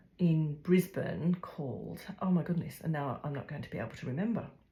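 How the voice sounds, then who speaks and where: A woman's very deep, low-pitched and somewhat breathy voice at a moderate pace, with fairly even intonation. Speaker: craft video creator. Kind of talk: unboxing vlog. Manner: halting, many fillers.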